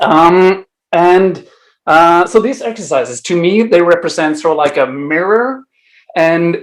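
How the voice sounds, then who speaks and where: A man with a Norwegian accent, a high pitch, lively intonation and a very slow pace. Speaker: improv teacher. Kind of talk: conference talk. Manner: hesitant, many fillers.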